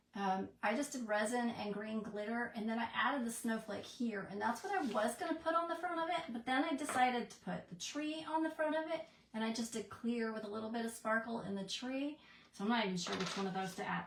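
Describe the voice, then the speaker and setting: A woman's fairly high voice, fairly quick in pace, with lively intonation over noticeable background noise. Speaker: crafter. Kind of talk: live craft tutorial. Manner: mumbling; chatty.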